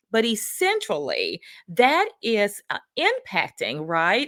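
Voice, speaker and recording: A woman's fairly high voice with a Southern US accent. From US South. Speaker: workplace culture consultant, show host. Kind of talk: livestream talk. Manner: casual, many fillers.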